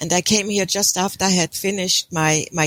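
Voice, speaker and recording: A woman at a fairly low pitch with a German accent, dry and close with no echo, on a very clean recording with a silent background. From Germany. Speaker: intuitive counselor. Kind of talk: interview.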